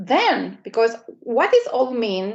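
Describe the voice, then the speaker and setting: A woman speaks very slowly with a non-native accent. Her pitch is fairly high and her intonation lively. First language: not English. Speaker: media strategy coach. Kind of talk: live webinar presentation. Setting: livestream webinar. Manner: hesitant, many fillers.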